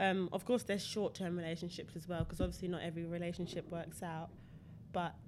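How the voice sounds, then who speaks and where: A woman with a London accent talks at a very fast pace in a fairly low pitch, with vocal fry and fairly even intonation. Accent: British (London). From London, England. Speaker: former track athlete. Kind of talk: casual chat.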